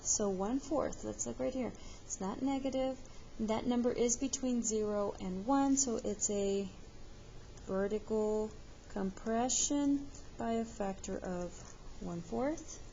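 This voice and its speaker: The voice is somewhat breathy, moving at a very slow pace with ordinary pitch variation. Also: woman. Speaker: math teacher. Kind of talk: tutorial.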